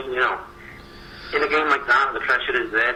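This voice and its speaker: With a Liverpool accent, a man talks at a fairly quick pace amid noticeable background noise and audible room echo. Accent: Scouse. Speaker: football analyst. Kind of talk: radio football discussion.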